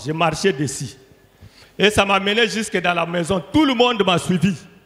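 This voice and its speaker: A man speaks with very wide swings in pitch. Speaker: church member giving testimony. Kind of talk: testimony. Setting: church.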